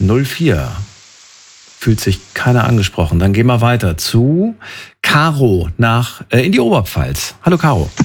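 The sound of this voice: A man talks at a moderate pace in a medium-pitched voice with a slightly husky edge and big pitch swings.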